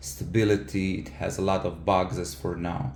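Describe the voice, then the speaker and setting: A man's very deep, low voice with lively intonation and audible room echo. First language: not English. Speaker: software engineer and keyboard user. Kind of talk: product feedback tutorial. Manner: halting, many fillers.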